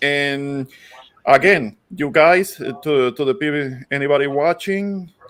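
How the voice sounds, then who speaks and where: At a fairly slow pace, a man with a Puerto Rican accent speaks at a fairly high pitch with ordinary pitch variation. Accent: Puerto Rican accent, recognizable. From Puerto Rico. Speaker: online show host. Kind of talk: casual panel chat. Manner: halting, many fillers.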